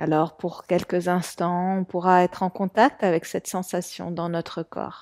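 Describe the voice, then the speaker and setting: A woman's fairly low-pitched, a plain, everyday voice, fairly slow and fairly even, with hardly any pauses, on a very clean, silent-background recording with a dry, close sound and no echo. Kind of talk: guided meditation. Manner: slow, calm, soft-spoken, with long pauses.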